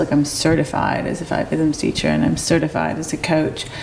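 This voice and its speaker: Noticeable background noise accompanies a woman's very deep, low pitch. She talks at a moderate pace. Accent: American. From US Midwest (Detroit, Michigan). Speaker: movement teacher and wellness coach. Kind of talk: interview conversation. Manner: halting, many fillers.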